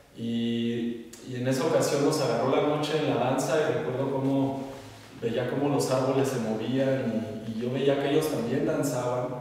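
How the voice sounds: Strong room echo surrounds a man speaking at a moderate pace. His medium-pitched voice has a dark, mellow tone and fairly even intonation.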